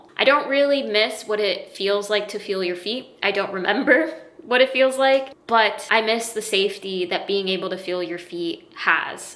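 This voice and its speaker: A woman with a fairly high pitch speaks at a moderate pace with hardly any pauses. Her pitch varies in an ordinary way over noticeable background noise. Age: 30s. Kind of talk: personal explainer talk to camera.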